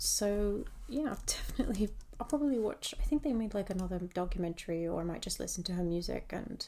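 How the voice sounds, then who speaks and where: A soft-spoken woman at medium pitch, dark and mellow in tone, fairly quick, with lively intonation. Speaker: hobby content creator. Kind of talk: casual rambling chat while drawing. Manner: hesitant, many fillers.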